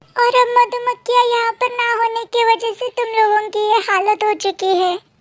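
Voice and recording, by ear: The voice is a cartoonish character. Its delivery runs at a moderate pace. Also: female-sounding voice, extremely high pitch for a woman.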